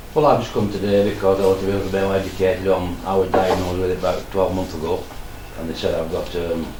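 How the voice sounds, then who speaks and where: With a very deep, low pitch, a man talks at a very fast pace and fairly even intonation. There is audible room echo and noticeable background noise. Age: 70s. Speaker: COPD patient. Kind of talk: casual group discussion.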